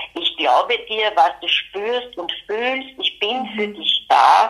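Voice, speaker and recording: With a plain, everyday voice, a woman talks at a fairly slow pace and medium pitch with ordinary pitch variation. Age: 60s. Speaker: retired pediatric nurse and mother of a son with mental illness. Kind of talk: interview, personal testimony.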